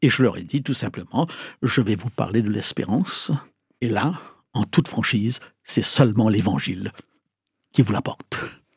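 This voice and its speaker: Somewhat breathy and lively in intonation, a man speaks at a fairly slow pace with a medium pitch and long, frequent pauses. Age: 70s. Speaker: pastor and evangelist. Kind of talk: interview.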